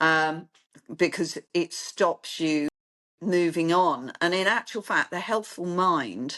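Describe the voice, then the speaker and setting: A woman with a London accent and a fairly low pitch, at a very slow pace with ordinary pitch variation, in a dry, close sound with no echo over a quiet background. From London, England. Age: 60s. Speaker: clinic founder, therapist. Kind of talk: interview.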